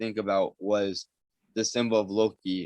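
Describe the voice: Over a quiet background comes plain reading aloud with fairly even intonation.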